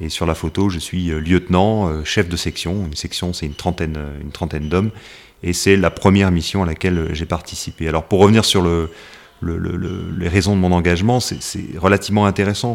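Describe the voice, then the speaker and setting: A man speaks at a very deep, low pitch. His pace is fairly quick, his intonation fairly even. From West Africa. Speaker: army officer. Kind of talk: interview. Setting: office.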